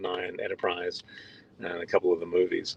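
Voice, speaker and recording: A man speaks with an Australian accent at a fairly quick pace. The sound is dry and close, with no echo. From Australia, Melbourne. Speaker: visual effects supervisor. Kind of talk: interview. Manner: halting.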